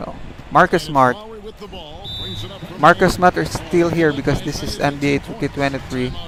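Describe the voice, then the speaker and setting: Over noticeable background noise, a man with a non-native accent speaks at a moderate pace, with big swings in loudness and long, frequent pauses. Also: fairly high pitch for a man, ordinary pitch variation. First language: not English. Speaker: gaming livestreamer. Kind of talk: live gameplay commentary. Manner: halting.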